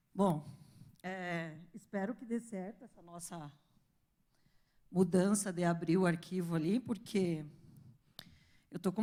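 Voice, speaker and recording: A woman keeps a fairly slow pace, with fairly even intonation. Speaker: astrophysicist giving a talk. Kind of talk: lecture.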